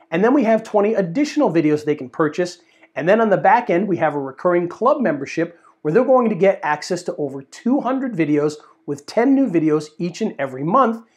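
A man talks at a fairly quick pace with very wide pitch swings. The background is quiet. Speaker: presenter. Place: studio. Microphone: lapel.

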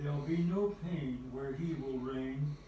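A man's fairly high voice at a very slow pace, with audible room echo and light background noise. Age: 80s+; old. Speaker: elderly man reading a poem. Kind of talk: poetry reading. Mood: gentle, devotional. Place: home room.

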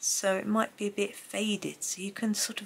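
This is a woman's voice. It has vocal fry. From England, Gloucestershire. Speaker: art tutorial youtuber. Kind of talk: tutorial. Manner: casual, chatty.

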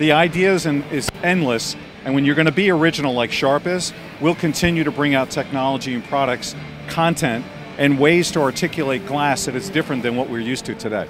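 Clear music plays behind a man speaking at a fairly quick pace. His pitch varies in an ordinary way, and the sound is dry with no echo. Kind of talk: interview answer. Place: hall. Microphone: handheld.

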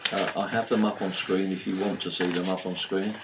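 A man talks fairly quickly while loud background noise plays behind him. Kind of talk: meeting chairing. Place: meeting room. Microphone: camera far.

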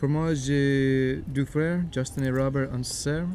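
A man talks at a very slow pace with an American accent. There is noticeable background noise. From United States. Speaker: YouTuber. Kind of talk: casual chat. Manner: halting. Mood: relaxed, playful. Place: garden.

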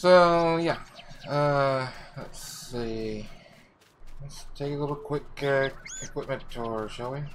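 Over noticeable background noise, a man with a fairly high pitch speaks very slowly, with long, frequent pauses and big swings in loudness. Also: ordinary pitch variation. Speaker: gaming video creator. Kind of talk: let's play commentary. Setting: home recording with headset. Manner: rambling; halting.

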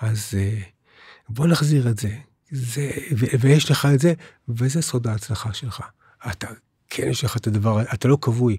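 With a dark, mellow, somewhat breathy tone, a man speaks at a fairly slow pace with long, frequent pauses, the sound dry with no echo. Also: ordinary pitch variation, quiet background. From Israel. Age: 60s. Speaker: spiritual teacher. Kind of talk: interview. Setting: studio. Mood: calm, warm, persuasive. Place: studio. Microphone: studio mic.

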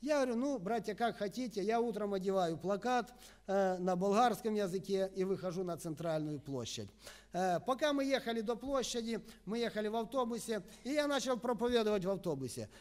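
A man talks at a fairly quick pace with lively intonation and a high pitch. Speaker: preacher, evangelist. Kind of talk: sermon. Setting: church. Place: church. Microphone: podium.

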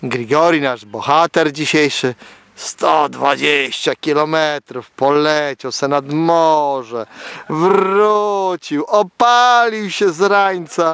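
A man speaks at a very slow pace with lively intonation. The sound is dry with no echo, against a quiet background. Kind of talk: casual commentary. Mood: cheerful, joking. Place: open country. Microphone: phone near.

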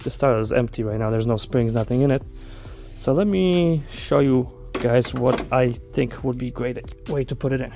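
Faint music plays in the background as the voice moves at a moderate pace with ordinary pitch variation. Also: man. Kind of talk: tutorial. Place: garage. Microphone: earbuds.

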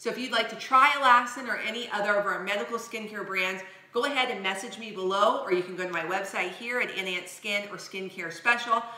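A woman talks at a very fast pace with ordinary pitch variation and big swings in loudness. Audible room echo surrounds her voice. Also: hardly any pauses. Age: 40s. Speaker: skincare vlogger. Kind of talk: product review. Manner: animated. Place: kitchen. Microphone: camera far.

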